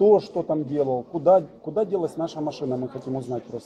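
This man's voice sits fairly high in pitch, varying in an ordinary way. Noticeable background noise runs behind him. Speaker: off-road vlogger. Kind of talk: heated argument at police station. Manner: animated. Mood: earnest, slightly agitated. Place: office. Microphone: phone near.

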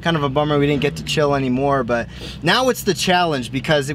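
Over light background noise, a man speaks with ordinary pitch variation in a dry sound with no echo. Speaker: off-road vlogger. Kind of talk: casual vlog chat. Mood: relaxed, upbeat. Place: car. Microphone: camera far.

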